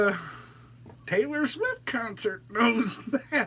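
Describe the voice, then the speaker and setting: Using very wide pitch swings and a bright, sharp tone, a man talks at a fairly slow pace. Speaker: talk show host. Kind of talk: casual chat. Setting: live stream studio. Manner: animated.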